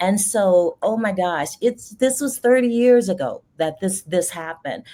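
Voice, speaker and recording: Delivered at a fairly slow pace, the voice has a dark, mellow tone and lively intonation. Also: woman, medium pitch for a woman. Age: 60s. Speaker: caregiving advocate. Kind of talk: casual chat.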